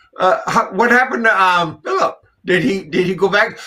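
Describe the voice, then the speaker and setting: A man projects a raised, high-pitched voice with lively intonation. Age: 60s. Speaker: live stream guest. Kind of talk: casual chat. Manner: halting.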